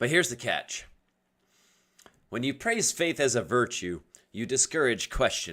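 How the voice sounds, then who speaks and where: A man at medium pitch and a moderate pace, with a bright, sharp tone, vocal fry, very wide pitch swings, and long, frequent pauses. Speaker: livestreamer discussing atheism. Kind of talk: casual livestream monologue. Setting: live stream. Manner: stuttering, halting.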